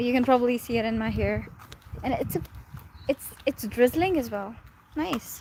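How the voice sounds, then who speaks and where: A high-pitched woman with a Pakistani accent talks at a moderate pace with lively intonation and long, frequent pauses over noticeable background noise. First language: Urdu. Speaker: live streamer. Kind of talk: casual chat. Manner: rambling, many fillers.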